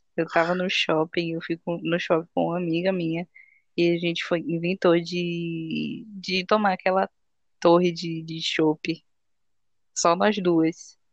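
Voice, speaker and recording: A woman with an ordinary speaking voice, fairly low in pitch, at a fairly slow pace with fairly even intonation, in a dry, close sound with no echo. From Bahia, Brazil (Salvador). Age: 20s. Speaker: podcast host. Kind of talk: casual chat.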